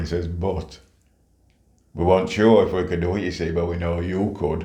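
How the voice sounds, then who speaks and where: A man's very deep, low voice, somewhat breathy, with a dark, mellow tone, flat monotone delivery and a moderate pace. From St Kitts, moved to UK at 7. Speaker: retired police officer, community leader. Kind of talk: life story interview answer.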